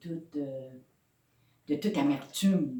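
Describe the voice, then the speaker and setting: Her voice is a woman's, fairly low in pitch and dark and mellow in tone, with ordinary pitch variation. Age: 60s. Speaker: pastor. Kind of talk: sermon. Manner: halting.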